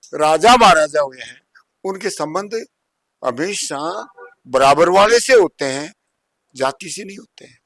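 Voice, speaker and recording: The recording is dry and close, with no echo. A man speaks at a high pitch with lively intonation. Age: 90s. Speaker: elderly social commentator. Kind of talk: interview.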